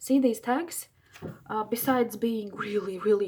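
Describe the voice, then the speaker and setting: Noticeable background noise runs behind a woman speaking at a moderate pace. She has a fairly high pitch and ordinary pitch variation. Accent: non-native. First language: not English. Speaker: crafting video maker. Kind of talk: craft tutorial. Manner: enthusiastic; halting.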